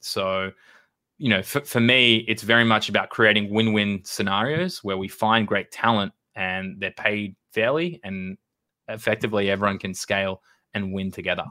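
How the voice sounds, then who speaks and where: Here a man speaks with an Australian accent and a fairly low pitch. His pace is moderate, with ordinary pitch variation. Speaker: recruitment agency founder. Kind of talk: podcast interview. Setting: video call.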